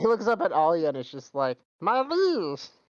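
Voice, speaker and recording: A man's high-pitched, put-on character voice at a fairly quick pace over a quiet background. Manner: adoring, cutesy.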